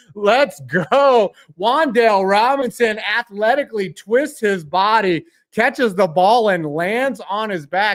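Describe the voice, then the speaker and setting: With lively intonation and an American accent, the speaker comes through on a very clean recording with a silent background. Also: man. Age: 40s. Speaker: sports live streamer. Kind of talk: live reaction commentary. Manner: animated.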